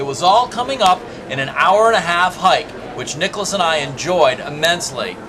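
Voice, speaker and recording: A high-pitched man at a fairly quick pace, with lively intonation, noticeable background noise and audible room echo. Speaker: travel show host. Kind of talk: scripted narration. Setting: outdoors. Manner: loud.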